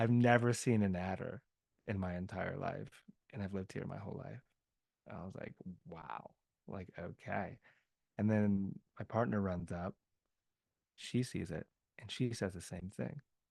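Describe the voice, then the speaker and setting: A man with an American accent, fairly low in pitch with ordinary pitch variation, fairly slow and full of long, frequent pauses, his loudness swinging widely, in a dry, close sound with no echo. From US South. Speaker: podcast guest. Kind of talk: casual conversation. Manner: animated.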